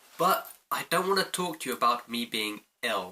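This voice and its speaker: A man speaks with a British accent. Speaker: vlogger. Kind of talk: casual vlog monologue.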